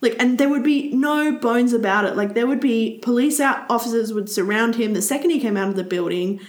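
A woman's fairly high voice at a fairly quick pace with hardly any pauses, ordinary pitch variation and audible room echo. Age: 30s. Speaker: podcast co-host. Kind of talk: casual chat.

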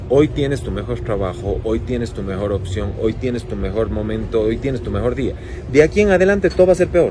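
Noticeable background noise is present throughout. A man speaks over it at a fairly quick pace. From Ecuador, Cuenca. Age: 40s. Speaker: fashion designer. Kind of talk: interview.

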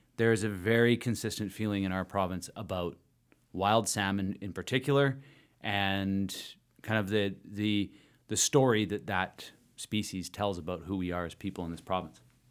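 A man's ordinary speaking voice, fairly low in pitch, with fairly even intonation and a moderate pace, on a very clean recording with a silent background. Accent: Canadian. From British Columbia, Canada. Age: 40s. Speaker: politician and podcast host. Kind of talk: casual interview conversation.

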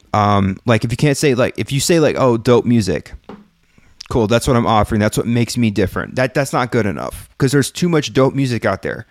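A man with an American accent and an ordinary speaking voice, medium in pitch with ordinary pitch variation, at a fairly quick pace, in a dry, close sound with no echo. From California and Texas, US. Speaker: music marketing podcaster. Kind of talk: solo livestream talk to chat. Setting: live stream with chat. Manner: casual with many fillers.

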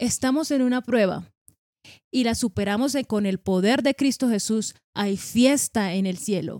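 With ordinary pitch variation, a woman's fairly high voice comes through dry and close with no echo on a very clean recording with a silent background. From Colombia, Caribbean coast (Sabana Grande, Atlántico). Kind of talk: casual religious conversation.

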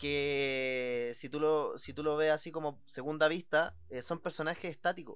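Using a fairly high pitch and a Chilean accent, a man talks at a fairly slow pace with hardly any pauses. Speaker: podcast host. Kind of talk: casual chat. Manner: animated.

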